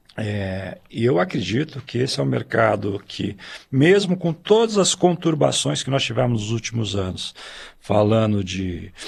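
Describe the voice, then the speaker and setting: With vocal fry and very wide pitch swings, a man speaks at a fairly slow pace in a medium pitch. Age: 60s. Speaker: swim school owner. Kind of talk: podcast discussion.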